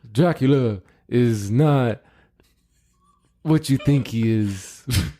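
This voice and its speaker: Mumbling in a put-on character voice, a man speaks at a very slow pace and a medium pitch. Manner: gruff, mumbling.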